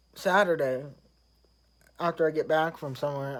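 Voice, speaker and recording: This voice has an American accent. The recording is very clean, with a silent background. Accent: Southern US redneck accent, self-described. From US South. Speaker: vlogger. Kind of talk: casual vlog monologue. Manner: halting.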